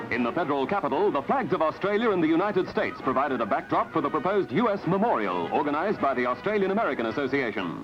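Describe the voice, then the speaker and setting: Music plays behind a man with a high voice who talks at a very fast pace with lively intonation. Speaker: newsreel narrator. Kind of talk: newsreel narration.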